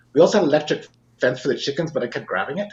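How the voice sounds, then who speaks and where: A man speaks with a western Canadian accent. His pitch variation is ordinary. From Saskatchewan, Canada. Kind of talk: personal testimony in podcast interview. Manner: halting, with frequent fillers and restarts.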